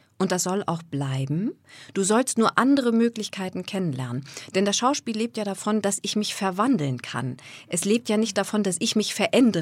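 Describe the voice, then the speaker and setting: A woman at medium pitch and a moderate pace, her pitch swinging very widely, in a very clean, dry, close recording with no echo and a silent background. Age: 40s. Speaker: voice and speech coach. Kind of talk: interview.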